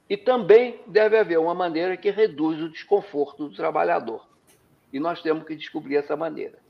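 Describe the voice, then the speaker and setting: Moderate pace and ordinary pitch variation. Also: man, high pitch for a man. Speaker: education economist. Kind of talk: interview.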